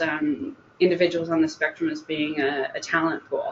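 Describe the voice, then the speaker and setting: Speaking with fairly even intonation, a woman with a fairly low pitch is heard over noticeable background noise. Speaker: job coach. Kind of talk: webinar presentation. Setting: online event.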